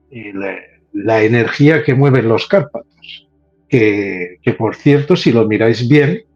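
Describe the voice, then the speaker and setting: With music in the background, a man of medium pitch speaks at a very slow pace with ordinary pitch variation. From Spain, Catalonia (Terrassa). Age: 60s. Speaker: paranormal researcher. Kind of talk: casual chat.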